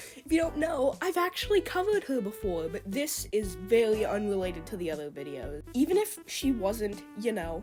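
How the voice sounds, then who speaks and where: Over music in the background, a woman talks at a moderate pace with very wide pitch swings. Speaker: YouTube commentator. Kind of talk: commentary video. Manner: casual talk to camera.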